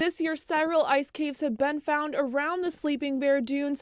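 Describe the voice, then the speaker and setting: With noticeable background noise behind her, a woman speaks at a moderate pace. Her pitch is high. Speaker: TV news reporter. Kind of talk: TV news live stand-up.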